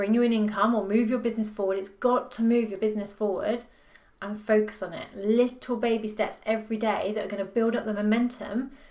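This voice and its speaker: A woman with a fairly high pitch talks at a fairly quick pace. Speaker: business performance coach. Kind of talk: talking-head tutorial video. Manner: fast; animated, passionate.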